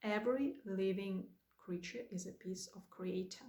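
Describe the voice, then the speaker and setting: A woman with a Russian accent, medium pitch, a somewhat breathy voice, ordinary pitch variation and a very slow pace. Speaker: spiritual guide. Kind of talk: spiritual talk to camera.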